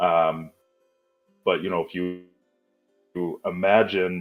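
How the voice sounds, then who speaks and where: A man is speaking. Music plays in the background. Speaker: cartoonist and high school English teacher. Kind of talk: casual interview chat. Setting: live online podcast.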